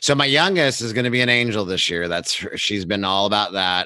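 With an American accent, a man speaks at a fairly quick pace in a plain, everyday voice, fairly low in pitch with ordinary pitch variation. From Central Valley of California. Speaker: podcast co-host. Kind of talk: interview; casual chat.

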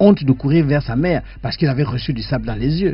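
Faint music sits behind a man talking at a moderate pace. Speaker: radio guest. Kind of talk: reading aloud from a book. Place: studio.

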